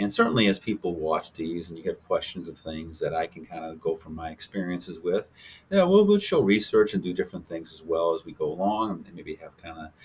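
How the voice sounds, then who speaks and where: Speaking at a fairly quick pace with hardly any pauses, a man's voice shows big swings in loudness. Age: 60s. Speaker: health channel host, doctor. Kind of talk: casual talk to camera. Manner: halting, many fillers.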